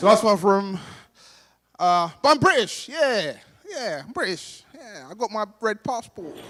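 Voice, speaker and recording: A man with a London accent speaks at a fairly slow pace in a high-pitched, bright, sharp tone. His pitch swings very widely and his loudness shifts in big swings. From Somalia, raised in London. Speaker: stand-up comedian. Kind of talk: stand-up. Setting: stage with audience at gala dinner.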